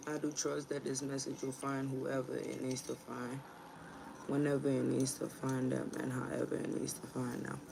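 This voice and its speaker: Noticeable background noise behind a woman talking at a moderate pace. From Ghana. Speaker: tarot reader. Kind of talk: casual livestream chat. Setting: livestream at home. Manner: casual, profane.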